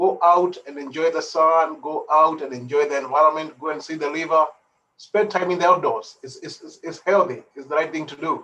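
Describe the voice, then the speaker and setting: A fairly quick delivery in an East African accent, with big swings in loudness. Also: man, fairly high pitch for a man, fairly even intonation. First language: Swahili. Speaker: participant. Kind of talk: casual chat.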